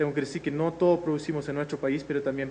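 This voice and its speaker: Fairly even intonation comes from a man whose voice is fairly high in pitch. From Netherlands. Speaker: researcher. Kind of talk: lecture. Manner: hesitant, many filler sounds.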